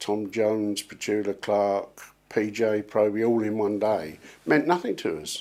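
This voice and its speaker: On a very clean recording with a silent background, a man with an English accent talks at a fairly slow pace in a fairly low pitch and a dark, mellow tone. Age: 60s. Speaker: session drummer. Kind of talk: interview.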